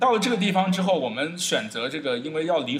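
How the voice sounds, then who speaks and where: Over noticeable background noise, the speaker goes at a fairly quick pace with very wide pitch swings. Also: man. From China. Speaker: traveller. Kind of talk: interview. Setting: indoor cafe. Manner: fast; hesitant fillers.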